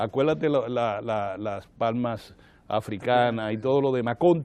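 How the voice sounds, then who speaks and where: Animated in tone, a man speaks at a fairly slow pace with a medium pitch and ordinary pitch variation. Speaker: political commentator on TV talk show. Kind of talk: casual studio discussion. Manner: animated, repetitive self-corrections.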